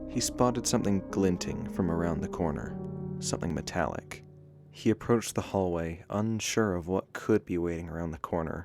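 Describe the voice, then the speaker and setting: A man talks at a moderate pace in a very deep, low pitch. Music plays in the background. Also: ordinary pitch variation. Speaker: storyteller. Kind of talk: horror story narration.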